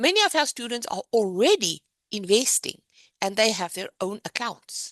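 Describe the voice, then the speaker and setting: A woman with a South African accent speaks at medium pitch and a moderate pace with lively intonation, in a dry, close sound with no echo. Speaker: business owner presenting a program. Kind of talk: presentation.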